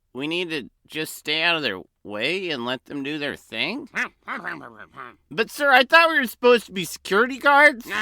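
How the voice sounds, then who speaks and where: A man in a put-on character voice sounds nervous, speaking at a moderate pace in a high pitch with very wide pitch swings, the sound dry and close with no echo on a very clean recording with a silent background. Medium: audio drama. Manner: nervous, bumbling.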